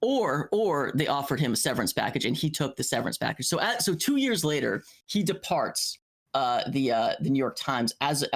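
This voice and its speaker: With a normal speaking voice, a man talks at a fairly quick pace and fairly high pitch. His intonation is lively, and the recording is very clean with a silent background. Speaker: podcast host. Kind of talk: casual podcast talk.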